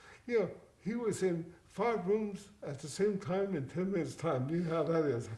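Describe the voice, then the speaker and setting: With lively intonation and a high pitch, a man speaks at a moderate pace amid audible room echo and noticeable background noise. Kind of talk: interview. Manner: halting, repeats words.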